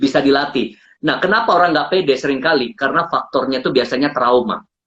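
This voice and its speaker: Fairly quick speech from a man. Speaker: public speaking coach. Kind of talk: interview on live stream. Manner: animated.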